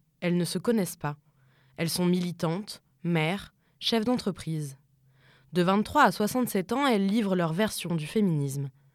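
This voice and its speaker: The speech is at a fairly slow pace with long, frequent pauses, on a very clean recording with a silent background. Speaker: podcast narrator. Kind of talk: scripted narration.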